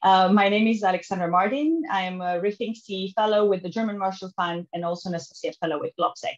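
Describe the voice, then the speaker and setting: Against a quiet background, a woman speaks at a very fast pace with hardly any pauses. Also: medium pitch for a woman, ordinary pitch variation. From Romania. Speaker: webinar moderator. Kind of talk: moderated panel. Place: home room. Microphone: headset.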